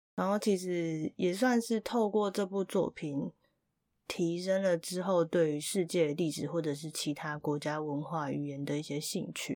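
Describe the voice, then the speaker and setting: A woman speaks at a fairly slow pace in a fairly low, dark, mellow tone with ordinary pitch variation. The recording is very clean with a silent background. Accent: Taiwanese. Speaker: podcast host. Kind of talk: casual monologue.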